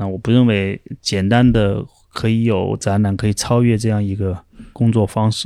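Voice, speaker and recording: In a very clean recording with a silent background, a man with a fairly low pitch and a dark, mellow tone speaks with fairly even intonation. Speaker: independent curator. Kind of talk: casual chat.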